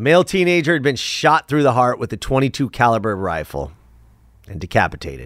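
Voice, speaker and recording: A man talks at a fairly quick pace with very wide pitch swings and vocal fry. The recording is very clean, dry and close, with a silent background and no echo. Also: medium pitch for a man. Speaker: podcast host. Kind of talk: true-crime narration: steady, grave storytelling of killings, dates and police details. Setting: studio. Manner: energetic, punchy opener, then serious and measured when telling the crimes.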